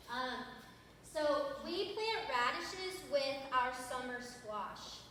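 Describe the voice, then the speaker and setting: A woman projects a raised voice in a Southern US accent, high-pitched and very slow, with very wide pitch swings. Audible room echo and noticeable background noise surround her. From US South, North Georgia. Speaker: small farmer and gardening presenter. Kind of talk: workshop talk to an audience.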